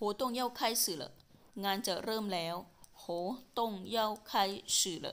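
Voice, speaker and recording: A woman talks in an ordinary speaking voice, fairly high in pitch with ordinary pitch variation, on a very clean recording with a silent background. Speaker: language teacher. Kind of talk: language lesson drill. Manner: slow, deliberate repetition.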